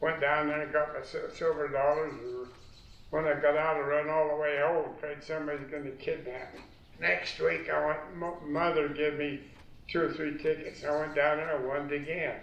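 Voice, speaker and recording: The speech comes at a moderate pace in an American accent with monotone, flat intonation, over noticeable background noise. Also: man, fairly high pitch for a man. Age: old. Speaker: war veteran. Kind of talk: interview answer.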